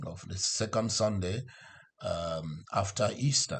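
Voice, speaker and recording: A man speaks against a quiet background. His voice is somewhat breathy. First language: not English. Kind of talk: sermon. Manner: halting, with fillers.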